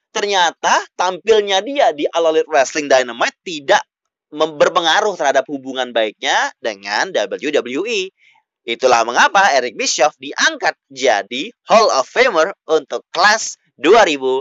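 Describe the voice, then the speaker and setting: This man talks at a fairly slow pace in a high voice that swings very widely in pitch. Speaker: podcast host. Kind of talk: solo wrestling news podcast. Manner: loud, shouting; hesitant with fillers.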